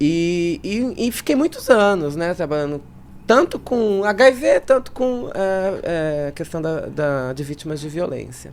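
The speech moves at a very slow pace. Its pitch swings very widely up and down. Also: woman, fairly low pitch for a woman. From São Paulo city, Zona Leste. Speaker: state legislator. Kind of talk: interview.

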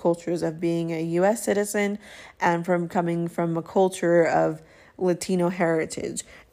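In a Spanish accent, a woman speaks fairly slowly with a fairly low pitch, a dark, mellow tone and monotone, flat intonation. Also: very clean recording, silent background. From US, Mexican immigrant family. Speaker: podcast host. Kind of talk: personal monologue podcast.

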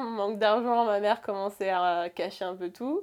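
An ordinary speaking voice at a fairly slow pace. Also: woman. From France, Rouen. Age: 20s. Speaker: barista. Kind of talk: personal testimony interview. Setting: home bedroom.

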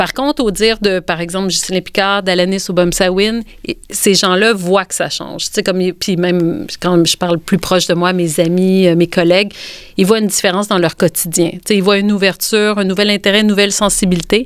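Speaking at a fairly quick pace, a woman holds a medium pitch with fairly even intonation. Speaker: author and illustrator. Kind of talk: interview.

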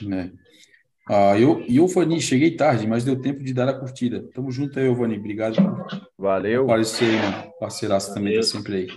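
A man with a Brazilian accent at a moderate pace, ordinary pitch variation, long and frequent pauses, and music in the background. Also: medium pitch for a man. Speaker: live stream host, marine aquarium hobbyist. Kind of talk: casual chat, live stream. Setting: online live stream.

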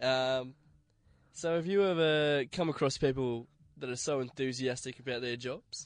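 In an Australian accent, the speaker goes at a moderate pace with ordinary pitch variation. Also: man, medium pitch for a man. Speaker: radio host. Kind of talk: casual chat.

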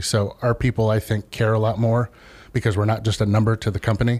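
Fairly quick and fairly low-pitched, a man talks in a monotone, flat way. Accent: Midwestern American. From US Midwest, Columbus, Ohio. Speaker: lumber company salesman. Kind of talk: radio interview.

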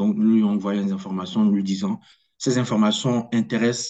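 The voice has a dark, mellow tone. It moves at a fairly slow pace in a flat monotone. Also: man. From Togo. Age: 20s. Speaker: corporate lawyer. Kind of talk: interview. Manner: hesitant.

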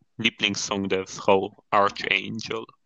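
A man at a very slow pace with a fairly low pitch. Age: 20s. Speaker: design student and podcast co-host. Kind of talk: casual chat. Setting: phone recording. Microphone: phone microphone, sounds like a call.

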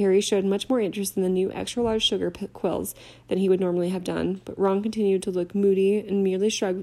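Plain reading aloud, its intonation fairly even

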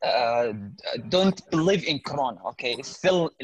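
The recording is dry and close with no echo as a man speaks with a fairly high pitch and lively intonation. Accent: Arabic. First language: Arabic. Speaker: English learner. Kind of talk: casual conversation practice. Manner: halting.

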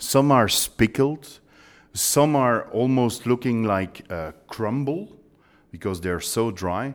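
Lively intonation carries this very slow speech in a Belgian accent. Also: man, medium pitch for a man, very clean recording, silent background. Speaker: baking company trainer.

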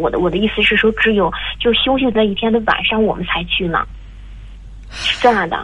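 A woman speaks at a fairly high pitch and a fairly quick pace. Noticeable background noise runs behind her. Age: 20s. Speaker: caller. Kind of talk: phone call advice. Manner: halting.

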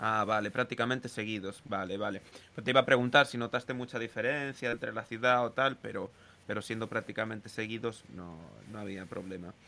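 A man talks fairly quickly in a plain, everyday voice at a medium pitch. His intonation is fairly even, but his loudness swings widely. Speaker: podcast host. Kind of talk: casual chat.

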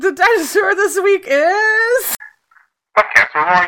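A put-on character voice, extremely high in pitch, at a fairly slow pace. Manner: announcing, showy.

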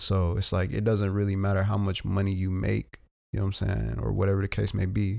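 In a very clean recording with a silent background, a man talks at a fairly quick pace and fairly low pitch. His tone is dark and mellow, with fairly even intonation and very even loudness. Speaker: podcast co-host. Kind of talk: casual chat. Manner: soft-spoken.

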